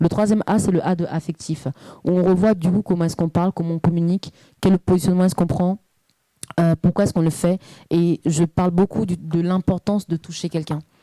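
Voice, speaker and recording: A woman speaks fairly quickly with a fairly low pitch and a dark, mellow tone. Her intonation is monotone and flat, and the sound is dry and close with no echo. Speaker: parenting coach. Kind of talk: interview. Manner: fluent, at ease.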